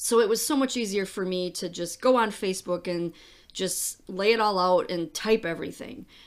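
In a very clean recording with a silent background, a woman talks at a moderate pace. She has an unremarkable speaking voice, medium in pitch with ordinary pitch variation. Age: 50s. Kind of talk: personal monologue podcast. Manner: casual with frequent fillers and laughs.

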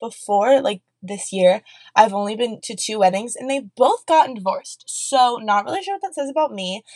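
In an animated tone with an American accent, a woman speaks at a fairly quick pace with ordinary pitch variation, in a dry, close sound with no echo. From US Midwest, Columbus, Ohio. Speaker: podcast host, college student. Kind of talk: casual solo chat.

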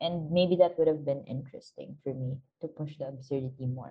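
Somewhat breathy female speech at a moderate speed. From Philippines. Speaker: short film producer. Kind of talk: casual film discussion.

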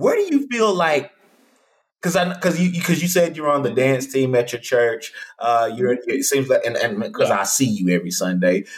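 A man's somewhat breathy, fairly high voice in an American accent, with very wide pitch swings. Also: moderate pace. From Texas. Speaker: podcast host and speaker. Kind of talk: casual interview. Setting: video call. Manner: animated.

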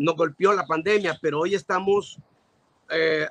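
A man's fairly high voice, fairly slow, with fairly even intonation and a dry, close sound free of echo. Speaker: pastor and evangelist. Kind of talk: interview.

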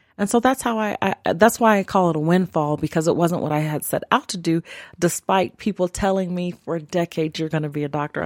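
A woman speaks in an ordinary speaking voice at a fairly low pitch with ordinary pitch variation, moving at a fairly quick pace with hardly any pauses. The recording is very clean, with a silent background and a dry, close sound with no echo. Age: 40s. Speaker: chiropractor. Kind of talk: interview.

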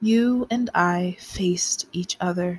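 In a dramatic, somewhat breathy tone, a woman speaks at a very slow pace. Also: dry, close sound with no echo. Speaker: poet. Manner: slow, measured and hushed, with soft dramatic pauses; expressive, sensual and wistful.

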